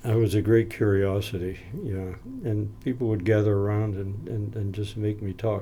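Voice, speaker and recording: A man speaks at a moderate pace with a fairly low pitch and a dark, mellow, somewhat breathy tone. His intonation is monotone and flat. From New England, Maine (Down East). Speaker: retired missionary and educator. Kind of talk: interview. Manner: halting.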